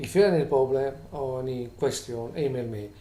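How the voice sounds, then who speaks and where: Audible room echo surrounds a man's medium-pitched voice. His tone is dark and mellow, with ordinary pitch variation. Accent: non-native. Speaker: vlogger with employment tribunal grievance. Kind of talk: complaint video monologue. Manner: halting, many fillers and restarts.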